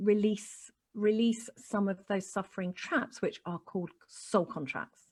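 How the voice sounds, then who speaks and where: A woman speaks at a moderate pace in a medium-pitched, somewhat breathy voice. The background is quiet. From Chile. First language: Spanish. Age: 40s. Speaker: spiritual life coach. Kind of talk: interview. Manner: animated.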